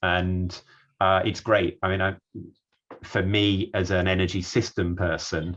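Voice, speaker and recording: A man's very deep, low voice, fairly slow and flat in monotone, broken by long, frequent pauses against a quiet background. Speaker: energy systems researcher. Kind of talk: online talk / presentation.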